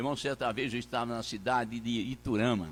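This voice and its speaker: Recorded very cleanly against a silent background, a man speaks at a moderate pace in a bright, sharp tone. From Brazil, Minas Gerais. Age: 80s+. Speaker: pastor. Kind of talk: sermon. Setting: church. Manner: halting.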